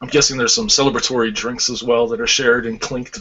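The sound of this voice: This man talks at a fairly quick pace and a medium pitch, with a fairly bright tone, a slightly husky edge and fairly even intonation.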